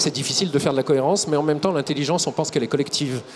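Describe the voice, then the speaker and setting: Noticeable background noise sits behind a man whose voice is fairly high-pitched. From Lyon area, France. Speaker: ecologist politician. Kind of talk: TV debate. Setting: TV set at an agricultural fair.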